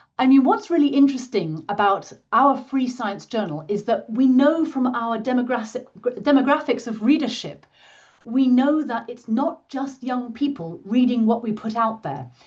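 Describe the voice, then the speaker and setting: A woman with a British accent speaks at a moderate pace. Her pitch is high, with ordinary pitch variation. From Britain. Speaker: science publishing professional. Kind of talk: interview.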